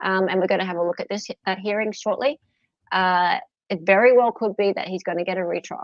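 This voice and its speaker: The speaker talks at a fairly quick pace with an Australian accent and fairly even intonation. Long, frequent pauses break up the speech. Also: woman. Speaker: true crime livestream host. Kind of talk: casual livestream chat.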